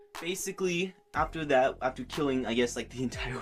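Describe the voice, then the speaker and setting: Noticeable background noise runs under a man who talks at a fairly quick pace. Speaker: gaming YouTuber. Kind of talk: casual game story recap. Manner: animated.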